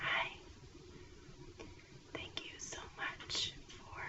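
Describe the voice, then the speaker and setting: A woman whispers over noticeable background noise. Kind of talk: ASMR whispered makeup chit chat. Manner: whispered, soft-spoken.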